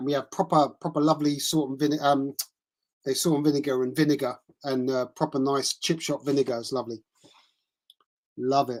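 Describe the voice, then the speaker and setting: With an English accent, the speaker moves at a fairly quick pace but takes long, frequent pauses. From England. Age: 50s. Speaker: tennis live streamer. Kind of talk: casual chat. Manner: halting.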